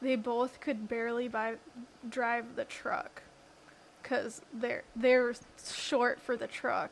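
A woman mumbles at a very slow pace in a high voice. Her intonation stays monotone and flat. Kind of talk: casual banter.

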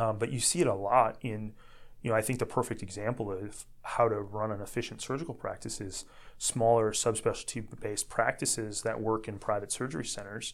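A man with a normal speaking voice, fairly low pitch and fairly even intonation, at a fairly quick pace on a very clean recording with a silent background. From US Midwest, Northwest Indiana. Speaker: orthopedic surgeon. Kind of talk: interview.

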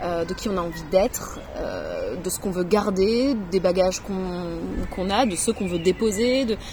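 A woman speaks at a fairly slow pace with hardly any pauses. Noticeable background noise runs beneath her voice. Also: medium pitch for a woman, ordinary pitch variation. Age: 30s. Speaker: author. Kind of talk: interview testimony. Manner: halting.

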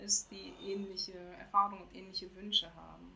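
A woman speaks at a medium pitch with monotone, flat intonation. Noticeable background noise sits behind her. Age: 40s. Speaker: civil servant and founder of a courage movement. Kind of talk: casual interview. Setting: remote call from Jamaica.

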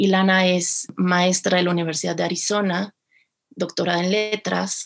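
Her voice fairly low in pitch, a woman speaks at a moderate pace. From Mexico City. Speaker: film festival producer. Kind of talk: interview.

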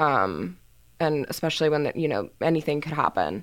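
A woman's very deep, low voice with vocal fry and lively intonation at a moderate pace, on a very clean recording with a silent background. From Houston, Texas. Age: 20s. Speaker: student photojournalist. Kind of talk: casual interview. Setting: studio. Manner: hesitant, many fillers.

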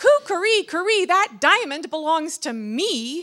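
A woman does a put-on character voice at an extremely high pitch, fairly bright in tone, with big pitch swings at a fairly slow pace.

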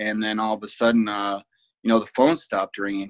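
A man with a Midwestern American accent, in dry, close sound with no echo. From Ohio, Fremont. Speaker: security business owner, ex-Marine officer. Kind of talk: interview conversation.

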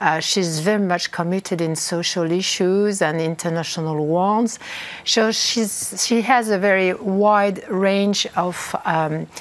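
Over noticeable background noise, a woman with a French accent and a medium pitch speaks at a very slow pace with fairly even intonation. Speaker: politician. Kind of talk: interview. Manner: halting.

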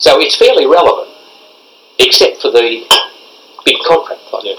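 A man with an Australian accent amid noticeable background noise. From Victoria, Australia (Castlemaine area). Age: 70s. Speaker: retired footballer. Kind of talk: oral history interview. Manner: halting.

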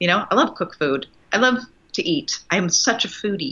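The voice belongs to a woman. She swings her pitch very widely. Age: 40s. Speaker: nurse and wellbeing coach. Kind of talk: casual chat.

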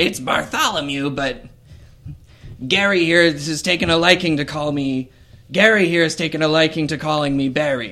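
At a moderate pace, a man puts on a character voice with a fairly high pitch. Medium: actual play.

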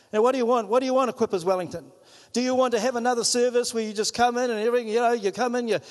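In a New Zealand accent, a man speaks with an extremely high pitch and an animated tone. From New Zealand, Whangarei. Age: 50s. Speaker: pastor. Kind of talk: sermon. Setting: church.

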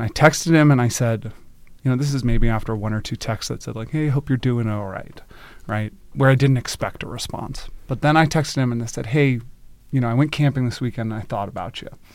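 A man talks in an ordinary speaking voice with an American accent, at medium pitch with ordinary pitch variation. His pace is fairly quick, in a very clean recording with a silent background. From US South, North Carolina. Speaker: customer success manager. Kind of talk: casual chat. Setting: studio.

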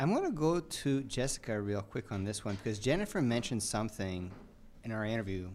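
A man's plain, everyday voice at medium pitch, fairly quick in pace, with ordinary pitch variation. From Canada. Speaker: podcast host. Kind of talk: live panel discussion. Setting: live at a conference.

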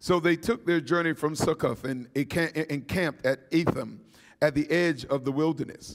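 Using a plain, everyday voice, a man talks at a moderate pace with a fairly high pitch and ordinary pitch variation. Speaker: preacher. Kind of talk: sermon to seminary students. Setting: church or chapel with congregation. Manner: call-and-response, urgent, exhorting.

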